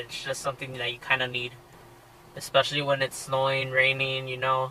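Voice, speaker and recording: Against noticeable background noise, a man speaks at a fairly quick pace in a medium pitch. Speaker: car vlogger. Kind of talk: casual vlog talk. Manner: hesitant, many fillers.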